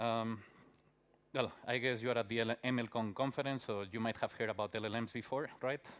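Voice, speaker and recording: On a very clean recording with a silent background, a man with a Spanish accent speaks at a medium pitch. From Spain. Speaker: conference speaker, software developer. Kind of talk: conference talk. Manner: many filler words and hesitations.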